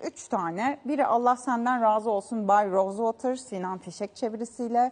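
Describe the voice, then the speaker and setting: With a fairly high pitch and ordinary pitch variation, a woman talks at a moderate pace. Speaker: TV culture show host. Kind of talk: news-style book and event roundup; TV interview. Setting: TV studio. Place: studio.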